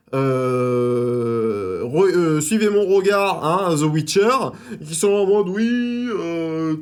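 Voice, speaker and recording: Very wide pitch swings run through a man's fairly high voice. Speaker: YouTube film and TV reviewer. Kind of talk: casual video review. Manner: hesitant, many fillers and repetitions.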